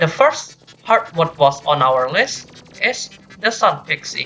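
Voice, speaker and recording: With music in the background, a woman with a non-native accent speaks at a very slow pace, her pitch swinging very widely. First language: not English. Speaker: gaming video reviewer. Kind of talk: game review commentary.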